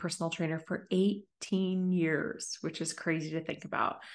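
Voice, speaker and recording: A woman talks in an unremarkable speaking voice, fairly low in pitch, with fairly even intonation. Her pace is moderate, and the background is quiet. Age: 40s. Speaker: business coach. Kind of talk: podcast interview.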